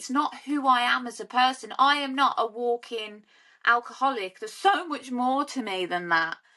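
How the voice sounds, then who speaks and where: Her voice is raised and projected, a woman's high pitch with a bright, sharp tone and lively intonation. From English Midlands, South Staffordshire. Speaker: sober life coach. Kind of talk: testimony.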